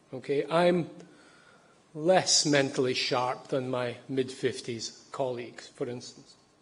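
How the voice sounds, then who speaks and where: Audible room echo surrounds a man speaking very slowly at a fairly high pitch with fairly even intonation. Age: 60s. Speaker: psychology professor. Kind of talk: public lecture. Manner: halting, with repetitions.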